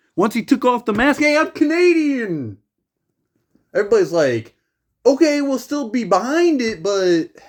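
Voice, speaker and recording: A man speaks at a fairly slow pace, his pitch swinging very widely. The recording is very clean, with a silent background. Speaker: gaming youtuber. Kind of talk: casual vlog rant. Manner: stuttering; animated.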